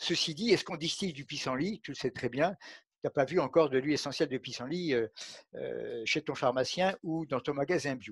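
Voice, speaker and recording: Fairly quick, somewhat breathy speech with ordinary pitch variation, a dry sound with no echo and a quiet background. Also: man, fairly high pitch for a man. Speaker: physician and aromatherapy expert. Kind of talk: interview conversation. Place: home room. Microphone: headset.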